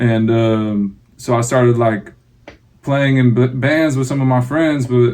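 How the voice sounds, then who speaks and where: Someone with an American accent speaks very slowly with fairly even intonation. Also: man, medium pitch for a man. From Northern California, Sacramento. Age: 20s. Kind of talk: interview.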